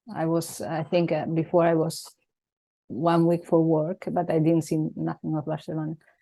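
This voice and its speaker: The voice has a dark, mellow tone and moves at a moderate pace. Its intonation is flat and monotone. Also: woman, fairly low pitch for a woman. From Venezuela. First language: Italian. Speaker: life coach. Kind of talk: casual chat. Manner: halting.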